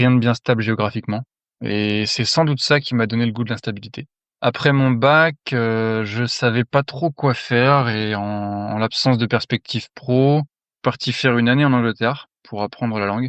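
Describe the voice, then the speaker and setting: At a medium pitch and moderate pace, a man talks in a normal speaking voice with fairly even intonation, in a dry, close sound with no echo over a quiet background. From France. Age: 30s. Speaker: mine worker giving testimony. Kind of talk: testimony.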